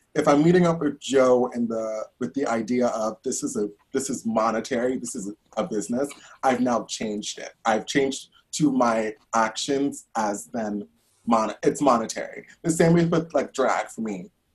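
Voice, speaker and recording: A man speaks at a moderate pace in a medium-pitched voice with ordinary pitch variation. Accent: New York. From Brooklyn, New York. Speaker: professional dancer and drag queen. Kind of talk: casual chat. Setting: video call.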